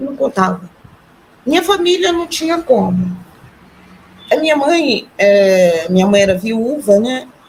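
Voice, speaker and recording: At a very slow pace with long, frequent pauses, a woman speaks in a high pitch with very wide pitch swings amid noticeable background noise. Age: 60s. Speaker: retiree and artisan, near-death experience witness. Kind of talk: testimony. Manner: halting.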